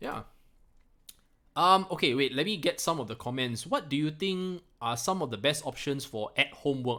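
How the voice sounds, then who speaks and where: A man's bright, sharp tone comes through a very clean recording over a silent background. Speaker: crypto investing YouTuber. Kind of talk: live stream Q&A. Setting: live stream from home. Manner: unscripted, off the cuff.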